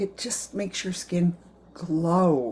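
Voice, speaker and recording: A woman with an American accent speaks at a fairly low pitch with lively intonation. Her tone is dark and mellow, and somewhat breathy. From US. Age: 80s. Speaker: direct sales consultant. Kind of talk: sales pitch. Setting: video message. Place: kitchen. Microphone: webcam.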